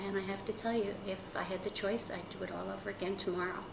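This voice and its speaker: Room echo is audible, along with noticeable background noise. A woman speaks at a medium pitch with fairly even intonation. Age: 60s. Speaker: patient. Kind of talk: testimony.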